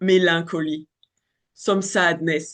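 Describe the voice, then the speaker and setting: A French accent over a quiet background. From France. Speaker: astrologer. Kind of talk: casual monologue. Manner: halting, many fillers.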